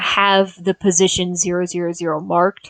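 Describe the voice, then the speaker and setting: In a dry, close sound with no echo, a woman speaks fairly slowly at a medium pitch in a flat monotone. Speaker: game development tutor. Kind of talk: tutorial. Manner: frequent filler words.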